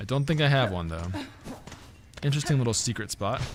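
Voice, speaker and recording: A man at a very fast pace with very wide pitch swings, amid noticeable background noise and audible room echo. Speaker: livestream host and community manager. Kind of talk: live gameplay stream chat. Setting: livestream. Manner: casual, chatty.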